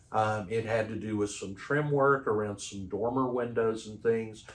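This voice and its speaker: This man speaks with a Texan accent. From Texas. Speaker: roofing company sales manager. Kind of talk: interview. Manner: hesitant, many fillers.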